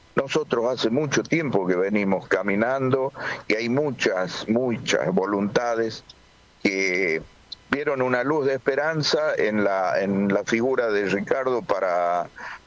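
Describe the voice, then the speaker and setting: Against noticeable background noise, a man speaks very slowly with lively intonation and very even loudness. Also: medium pitch for a man. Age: 60s. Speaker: political organizer. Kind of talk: interview.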